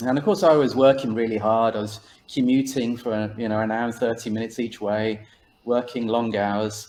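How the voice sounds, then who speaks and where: With an English accent, a man speaks at a moderate pace in a medium pitch and fairly even intonation. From England, Birmingham. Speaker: author. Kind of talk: interview.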